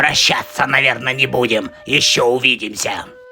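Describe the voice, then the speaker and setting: A man puts on a raspy cartoon character voice at medium pitch. He speaks at a moderate pace over clear background music. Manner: sly, scheming.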